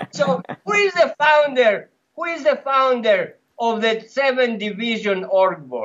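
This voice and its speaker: A man speaks at an extremely high pitch with a Greek accent. His intonation is lively. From Greece. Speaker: former cult member. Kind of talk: podcast interview. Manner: animated.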